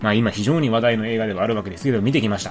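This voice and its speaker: A man rattles off his words at a very fast clip while noticeable background noise carries on around him. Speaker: film podcast host. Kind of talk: solo film review.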